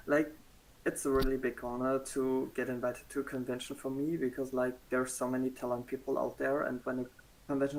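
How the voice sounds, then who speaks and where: A man's medium-pitched voice with a German accent, a moderate pace and a monotone, flat intonation. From Germany. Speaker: cosplayer. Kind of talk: interview. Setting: livestream.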